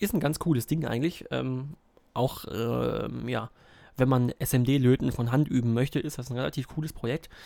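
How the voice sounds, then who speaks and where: Ordinary pitch variation and a moderate pace in a dark, mellow tone. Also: man. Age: 20s. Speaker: podcaster and university student. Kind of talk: casual solo podcast monologue. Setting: recording at a desk at home. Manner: hesitant, many filler sounds.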